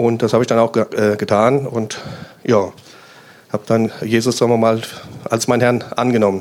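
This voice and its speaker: A man at medium pitch talks at a moderate pace in a monotone, flat intonation with very even loudness and long, frequent pauses, over noticeable background noise. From Hesse, Germany (Main-Kinzig area near Hanau). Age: 50s. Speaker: police officer. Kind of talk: interview at a church event.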